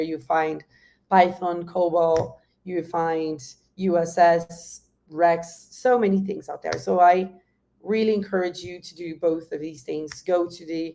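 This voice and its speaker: The speaker has a Brazilian Portuguese accent and a dark, mellow tone, delivered at a fairly slow pace. The intonation is flat and monotone, while the loudness swings widely. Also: woman. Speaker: industry guest speaker. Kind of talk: workshop presentation. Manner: halting.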